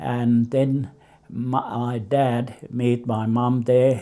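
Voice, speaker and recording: The man's tone is dark and mellow, set at a medium pitch. His intonation is monotone and flat. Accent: Finnish. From Finland. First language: Finnish. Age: 80s+. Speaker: immigrant grandfather. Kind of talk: life story interview. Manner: halting.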